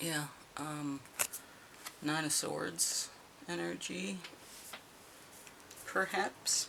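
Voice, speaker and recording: The delivery is very slow, with noticeable noise in the background. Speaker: tarot reader. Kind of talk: tarot reading. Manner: hesitant, with fillers.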